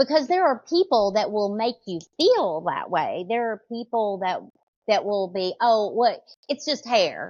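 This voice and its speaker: Very wide pitch swings mark a woman's fairly high pitch as she talks at a fairly slow pace with a Southern US accent. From US South, small town. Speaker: hairstylist. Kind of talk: podcast interview.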